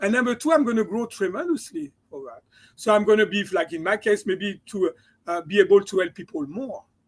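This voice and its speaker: A man with a slight French accent speaks in a high voice at a fairly quick pace. His intonation is lively, and his loudness swings widely. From France. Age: 60s. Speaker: chiropractor and mindset coach. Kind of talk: interview.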